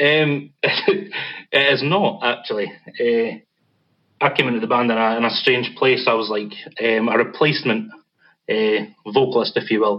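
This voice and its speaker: With a Scottish accent, a man talks at a medium pitch and a fairly slow pace, using ordinary pitch variation and long, frequent pauses. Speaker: band vocalist, podcast guest.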